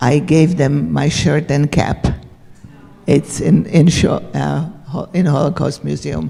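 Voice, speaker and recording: With clear background noise around her, a woman talks very slowly. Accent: Central European. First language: Hungarian. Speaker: Holocaust survivor speaker. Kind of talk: Q&A after talk.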